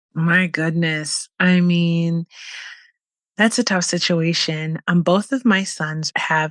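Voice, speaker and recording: Against a quiet background, a woman speaks at a very slow pace. Her fairly low voice keeps a fairly even intonation. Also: dry, close sound with no echo. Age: 40s. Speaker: podcast host, veteran. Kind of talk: casual interview chat.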